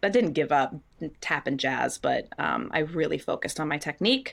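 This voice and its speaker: A woman's very deep, low voice at a moderate pace, with an American accent. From US Northeast (New England). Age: 40s. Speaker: Broadway actress. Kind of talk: casual interview.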